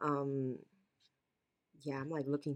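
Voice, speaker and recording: A woman with an American accent speaks in a very deep, low pitch, her tone bright and sharp. Her voice is hoarse and raspy. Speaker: podcast host. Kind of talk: casual chat. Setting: video call.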